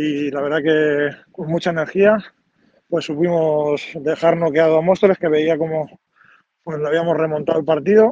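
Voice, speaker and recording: The speech has fairly even intonation and a dark, mellow tone. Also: man, fairly high pitch for a man, moderate pace. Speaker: assistant basketball coach. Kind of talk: interview. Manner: halting.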